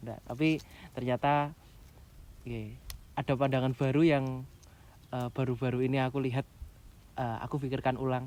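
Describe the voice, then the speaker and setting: At a moderate pace and medium pitch, a man talks in a monotone, flat intonation with long, frequent pauses. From East Java, Pasuruan. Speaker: trainee pastor. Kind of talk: casual interview chat.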